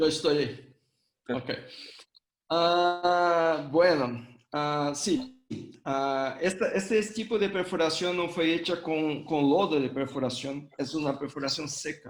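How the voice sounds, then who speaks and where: A man speaks with a Brazilian accent. His pace is very slow, with ordinary pitch variation. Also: fairly high pitch for a man. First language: Portuguese (speaking Spanish). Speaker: hydrogeology professor, invited lecturer. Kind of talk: Q&A answer. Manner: halting, many fillers.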